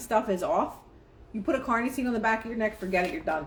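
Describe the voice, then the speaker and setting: The voice is somewhat breathy and animated in tone. Its intonation is lively. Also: woman. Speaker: spiritual life coach livestreamer. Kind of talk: live stream talk on manifesting with reading aloud. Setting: live stream. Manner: fast.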